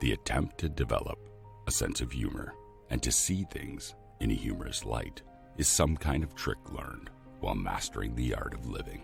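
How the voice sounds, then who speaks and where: With music in the background, a man talks at a moderate pace in a very deep, low voice with a calm, soothing tone. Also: ordinary pitch variation. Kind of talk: motivational quote reading.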